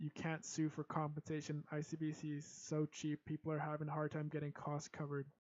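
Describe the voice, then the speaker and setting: In a Canadian accent, a man with a fairly high pitch speaks in a monotone, flat way. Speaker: live streamer reacting to election. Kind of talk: casual live commentary.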